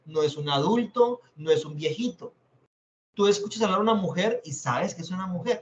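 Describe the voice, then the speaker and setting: This man's voice rises and falls with ordinary pitch variation. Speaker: teacher. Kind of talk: lecture.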